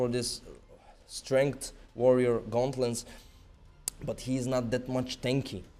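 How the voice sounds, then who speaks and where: A man speaks at a fairly slow pace in a medium pitch, with music playing in the background. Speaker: esports caster. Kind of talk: live commentary. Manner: animated.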